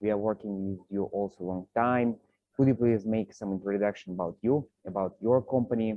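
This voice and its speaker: Someone speaks at a moderate pace with fairly even intonation, in a Russian accent. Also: man, fairly low pitch for a man. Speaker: partner relations manager, meeting host. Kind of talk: online business meeting. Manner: hesitant, many fillers.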